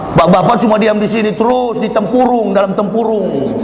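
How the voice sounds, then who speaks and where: Amid noticeable background noise and audible room echo, a man speaks at a fairly quick pace with a high pitch. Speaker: preacher. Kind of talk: sermon. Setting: mosque with audience. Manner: loud. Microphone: poor sound system, clip-on mic.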